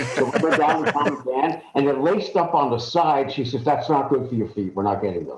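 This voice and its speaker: A man with a normal speaking voice, fairly high in pitch, talking at a fairly quick pace with lively intonation and hardly any pauses. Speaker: radio and TV announcer. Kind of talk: interview answer.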